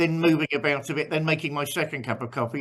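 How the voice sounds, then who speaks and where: In an English accent, the speaker talks at a very fast pace. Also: man. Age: 60s. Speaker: pastor. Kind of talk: casual chat. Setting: video call.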